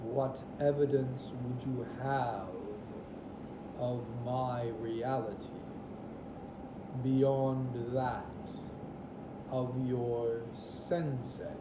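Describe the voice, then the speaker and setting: A man puts on a character voice at medium pitch, speaking very slowly. Loud background noise and a slight echo fill the recording. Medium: read story. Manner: solemn, measured.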